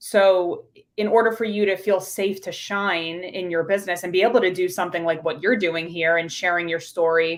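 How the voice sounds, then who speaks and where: Speaking at a moderate pace, a woman with a slight New York accent holds a medium pitch and fairly even intonation. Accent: New York accent, slight, shows on some words. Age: 30s. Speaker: pharmacist and business coach. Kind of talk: podcast interview.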